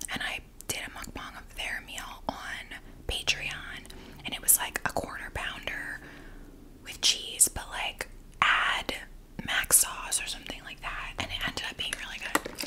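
Whispering at a fairly slow pace, a woman shows big swings in loudness. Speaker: mukbang creator. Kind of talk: casual vlog chat. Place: home room. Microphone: studio mic.

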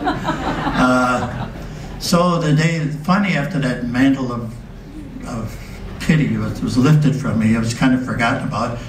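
Lively intonation marks this man's speech at a moderate pace, with audible room echo and light background noise. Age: 80s+. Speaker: war veteran. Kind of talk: live storytelling performance. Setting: live stage with audience.

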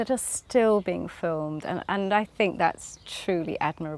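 A woman speaks at a moderate pace with lively intonation. The sound is dry, with no echo. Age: 50s. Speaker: novelist. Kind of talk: interview. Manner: halting. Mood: warm, cheerful, often laughing. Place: garden.

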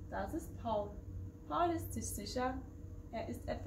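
What you hear is plain reading aloud.

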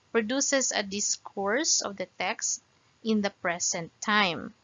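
Speaking very slowly, a woman shows ordinary pitch variation. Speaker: presenter. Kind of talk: lecture. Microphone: webcam.

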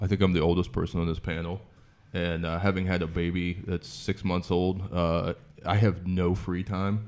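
In an American accent, a man speaks with a very deep, low pitch and monotone, flat intonation. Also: moderate pace. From southeastern Ohio. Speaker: comedian. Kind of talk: panel discussion. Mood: relaxed, joking. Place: home room. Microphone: studio mic.

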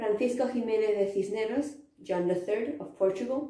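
In a room with audible echo, a woman speaks at a fairly high pitch with a dark, mellow tone and ordinary pitch variation. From Spain. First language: Spanish. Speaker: history video presenter; presenter. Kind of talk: informal lecture; school presentation. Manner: halting, with fillers and repetitions. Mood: casual, slightly hesitant. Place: home room. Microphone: camera far.

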